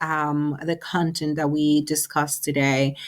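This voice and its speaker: Very slow is the pace at which a woman is speaking. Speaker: counselor presenter. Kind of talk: webinar presentation. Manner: hesitant with frequent fillers.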